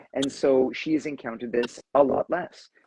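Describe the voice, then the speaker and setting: Recorded dry and close with no echo, a man with a Southern Ontario accent speaks at a medium pitch. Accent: Southern Ontarian drawl. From Southern Ontario, Canada. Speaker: discussion moderator, university academic. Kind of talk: casual live discussion. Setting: Instagram live stream. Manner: conversational with many fillers and restarts.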